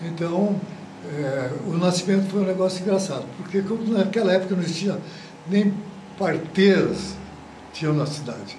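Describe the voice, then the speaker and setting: Over noticeable background noise and audible room echo, a man with a high pitch and ordinary pitch variation talks at a moderate pace, leaving long, frequent pauses. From Brazil, Paraná (Marialva). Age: 80s+. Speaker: retired football goalkeeper. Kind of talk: interview. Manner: halting, with repetitions.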